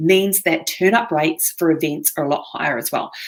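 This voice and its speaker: This woman speaks with a New Zealand accent. Her pitch is fairly low and her intonation fairly even. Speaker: online marketing presenter. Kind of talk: webinar presentation.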